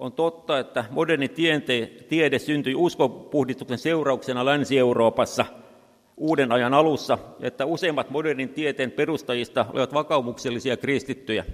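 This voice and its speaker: Here a man talks with a fairly high pitch at a moderate pace. His intonation stays fairly even. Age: 60s. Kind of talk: lecture. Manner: halting.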